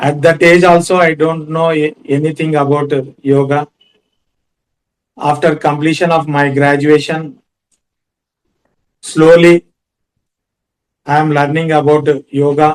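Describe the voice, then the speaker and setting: In an Indian accent, a man speaks at a fairly high pitch with monotone, flat intonation. His pace is fairly slow, with long, frequent pauses. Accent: Indian English (Telugu). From India, Andhra Pradesh (Kurnool). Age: 40s. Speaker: yoga teacher and lawyer. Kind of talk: personal talk on yoga. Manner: halting, many fillers.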